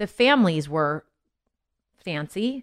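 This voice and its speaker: The recording is very clean, with a silent background and a dry, close sound with no echo. A woman speaks in a General American accent. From Los Angeles, California. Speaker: singer and mom. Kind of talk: casual chat. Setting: studio.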